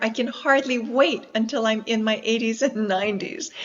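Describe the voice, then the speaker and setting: At a moderate pace, a woman with an American accent speaks in a plain, everyday voice with a fairly high pitch. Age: 60s. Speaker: explorer and environmentalist. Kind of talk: interview.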